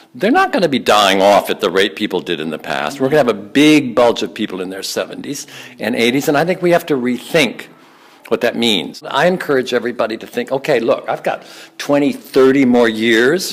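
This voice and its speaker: Amid noticeable background noise, a man speaks at a fairly quick pace with lively intonation. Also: medium pitch for a man. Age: 80s+. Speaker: author and stage performer. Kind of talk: interview. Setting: rehearsal studio.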